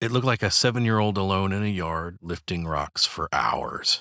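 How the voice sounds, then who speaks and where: Over a silent background on a very clean recording, a man with a very deep, low pitch talks at a fairly slow pace using lively intonation. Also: dry, close sound with no echo. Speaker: voice actor. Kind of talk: documentary narration. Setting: home studio.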